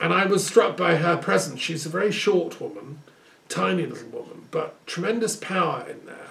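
Music plays in the background while a man speaks at a moderate pace. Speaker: speaker. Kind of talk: monologue address, reminiscence. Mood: earnest, reflective. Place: home room. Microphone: camera far.

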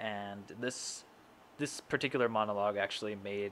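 Light background noise sits under a voice that moves at a moderate pace with monotone, flat intonation. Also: man. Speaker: voice channel host. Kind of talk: casual vlog chat. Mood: friendly, a bit shy. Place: home room. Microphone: studio mic.

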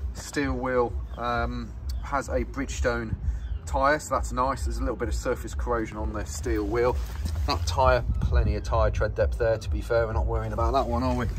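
Noticeable noise sits behind a man who speaks at a moderate pace. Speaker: van salesperson. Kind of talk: sales walkaround commentary. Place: street. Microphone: phone near.

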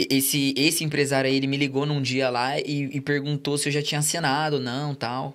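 A man speaks with a São Paulo accent at a fairly quick pace. His fairly high-pitched voice stays monotone and flat. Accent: São Paulo Brazilian Portuguese. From São Paulo state, Brazil. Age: 20s. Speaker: former footballer; podcast guest. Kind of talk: casual chat. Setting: studio. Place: studio. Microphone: studio mic.

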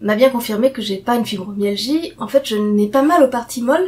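A woman speaks at a moderate pace with ordinary pitch variation. It is an ordinary speaking voice. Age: 40s. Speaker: patient sharing testimony. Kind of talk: casual talk to camera. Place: home room. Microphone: webcam.

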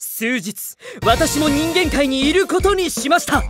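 A man's cartoonish character voice at a fairly slow pace, with faint music in the background. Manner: formal, stern.

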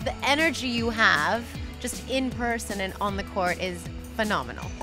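Clear background music behind a woman's moderately paced speech. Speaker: sports show host. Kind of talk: interview questions. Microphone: handheld.

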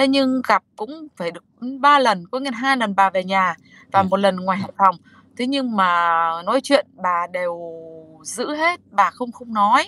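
A woman speaks at a fairly slow pace with long, frequent pauses and big swings in loudness. Her tone is bright and sharp, her intonation lively, and the sound is dry with no echo. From northern Vietnam, Hải Dương; Vietnam. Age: 50s. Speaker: woman searching for husband's birth mother; guest. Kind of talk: interview. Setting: video call from a car at her workplace. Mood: earnest, emotional. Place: car. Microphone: video call.

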